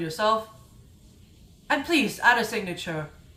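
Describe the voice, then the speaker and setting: Audible room echo surrounds this woman's voice. She speaks at a moderate pace with a fairly high pitch and lively intonation. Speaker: gaming YouTuber. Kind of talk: casual video monologue. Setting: indoor room, recorded video. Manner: slurring speech; halting, self-correcting.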